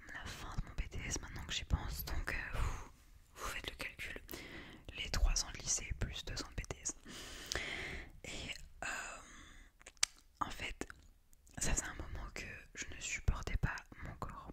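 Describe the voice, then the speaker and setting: A woman whispers at a fairly slow pace, leaving long, frequent pauses. Her loudness swings widely, and there is noticeable background noise. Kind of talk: ASMR whispered talk to camera. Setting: close-mic studio recording. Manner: whispered.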